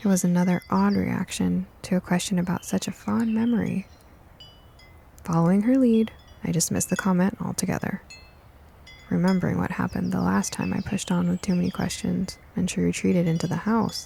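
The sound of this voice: A woman with a fairly low pitch and a dark, mellow tone speaks at a moderate pace with fairly even intonation. Vocal fry and a slightly husky edge come through.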